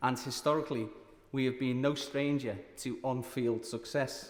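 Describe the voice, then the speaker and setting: In a Liverpool accent, a man with a medium pitch talks at a moderate pace with monotone, flat intonation. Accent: Liverpool (Scouse). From Liverpool, England. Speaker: member of parliament. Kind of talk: parliamentary maiden speech. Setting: parliament chamber. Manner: formal.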